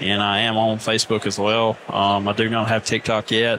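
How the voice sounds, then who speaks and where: A man with an Alabama accent, medium pitch, and a moderate pace, with noticeable background noise behind him. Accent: Southern, Alabama. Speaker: lawn care business owner, podcast guest.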